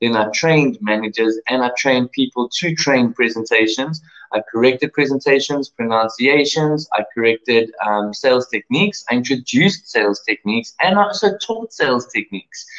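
A man with a South African accent speaks at a moderate pace and medium pitch. His intonation is lively, and he takes hardly any pauses. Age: 30s. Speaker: online English teacher. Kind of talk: self-introduction video. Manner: halting, many fillers.

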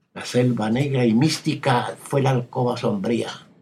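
A man's somewhat breathy voice at a very slow pace. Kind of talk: poetry reading aloud, scripted literary narration of a poem. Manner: slow, hushed, intimate and wistful, with measured dramatic pauses.

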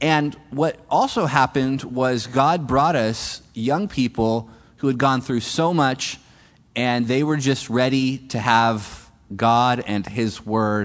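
With an American accent, a man speaks in a normal speaking voice at a medium pitch with ordinary pitch variation. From California. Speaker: missionary church planter. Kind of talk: mission talk to a congregation. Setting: stage with audience.

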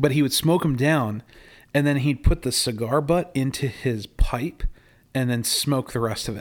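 In an unremarkable speaking voice, a man at medium pitch talks with ordinary pitch variation on a very clean recording with a silent background. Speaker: podcast host. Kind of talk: casual chat. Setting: casual conversation while smoking cigars. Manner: friendly, conversational.

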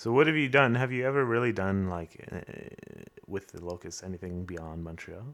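A man with a Canadian accent in a normal speaking voice, with lively intonation, big swings in loudness and a moderate pace. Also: fairly low pitch for a man. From Canada, Windsor area (Ontario). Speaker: podcast host and musician. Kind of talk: casual chat.

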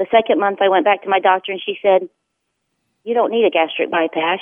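This woman talks at a fairly quick pace, with a medium pitch and ordinary pitch variation. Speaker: kindergarten teacher. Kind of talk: phone-in testimony. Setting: phone call. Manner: hesitant, many ums.

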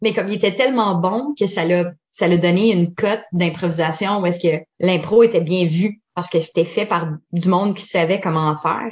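A woman with an ordinary speaking voice talks at a moderate pace with hardly any pauses, her fairly low pitch showing ordinary pitch variation. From Eastern Ontario (Franco-Ontarian, Orléans/Ottawa). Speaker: improv performer. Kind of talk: casual interview.

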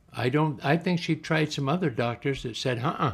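A man's voice with vocal fry and lively intonation at a moderate pace. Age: 90s. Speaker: retired brain surgeon. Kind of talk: interview recollection.

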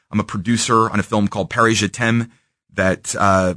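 A man with a Midwestern American accent speaks in a bright, sharp tone, the sound dry and close with no echo. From Kansas City, Missouri. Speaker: entrepreneur. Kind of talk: interview. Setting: radio studio.

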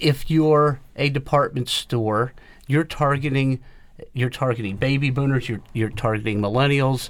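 A man with an unremarkable speaking voice talks at a moderate pace, medium in pitch and fairly even in intonation. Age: 60s. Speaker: retail trade association head. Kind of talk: radio panel discussion.

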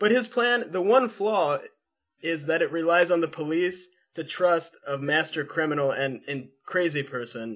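A man with an American accent speaks at a fairly slow pace in a normal speaking voice, his fairly high pitch carried by lively intonation. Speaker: podcast host. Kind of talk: casual chat.

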